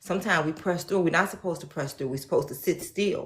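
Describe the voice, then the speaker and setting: An animated, somewhat breathy voice at a very fast pace, with ordinary pitch variation. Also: woman. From Chicago, South Side. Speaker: faith speaker. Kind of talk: personal testimony.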